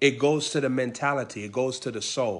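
This is a man's voice. He proceeds at a fairly slow pace with ordinary pitch variation. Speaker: preacher. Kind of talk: sermon. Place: home room. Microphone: phone near.

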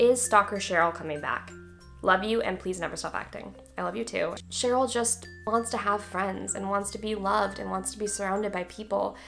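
Faint music sits in the background as a woman talks at a fairly quick pace. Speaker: actress. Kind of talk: casual Q&A talk to camera. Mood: friendly, animated. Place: home room.

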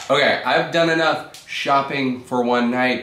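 There is audible room echo as a man speaks at a moderate pace. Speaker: vlogger. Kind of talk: casual vlog chat. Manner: tipsy, loose drunken speech. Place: home room. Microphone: webcam.

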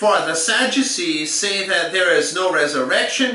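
A man speaks in a raised, projected voice at a fairly slow pace, with audible echo in the room. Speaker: bible teacher. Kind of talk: scripture reading in a lesson.

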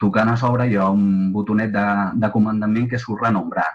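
A man's plain, everyday voice, fairly low-pitched, with fairly even intonation. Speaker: webinar host. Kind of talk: webinar moderation. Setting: video call. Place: home room. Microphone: webcam.

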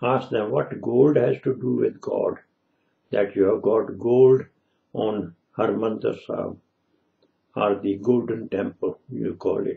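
Against a quiet background, a man talks at a very slow pace, leaving long, frequent pauses. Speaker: religious commentator. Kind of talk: religious commentary monologue. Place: home room. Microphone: webcam.

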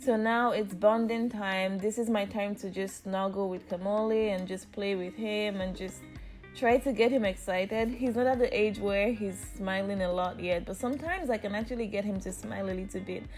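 Faint music plays behind a woman speaking at a moderate pace with hardly any pauses. Her intonation stays fairly even. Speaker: mother vlogger. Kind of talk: casual vlog narration. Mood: warm, gentle. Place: home room.

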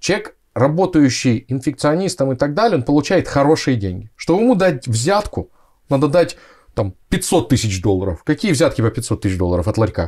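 A man's fairly high voice, with vocal fry, swings very widely in pitch. The recording is very clean, with a silent background. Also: moderate pace. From Siberia, Russia (Krasnoyarsk). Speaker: anesthesiologist. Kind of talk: casual interview chat.

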